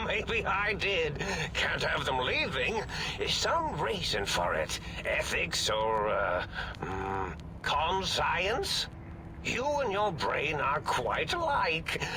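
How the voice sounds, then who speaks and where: A man in a put-on character voice at a very slow pace, against loud background noise. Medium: game stream. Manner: rambling, whimsical, distracted, giggling.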